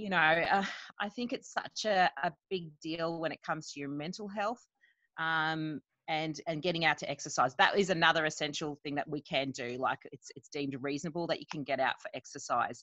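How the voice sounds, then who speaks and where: A woman with an Australian accent, very deep and low in pitch, with ordinary pitch variation, a bright, sharp tone, big swings in loudness, a fairly quick pace, and a dry, close sound with no echo. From Queensland, Australia. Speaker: nurse and parent. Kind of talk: casual chat.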